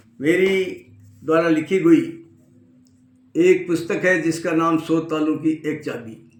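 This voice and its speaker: Long, frequent pauses break up the speech of a man with a high pitch and fairly even intonation. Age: 70s. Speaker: lawyer and health book author. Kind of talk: self-introduction and book promotion. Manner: formal.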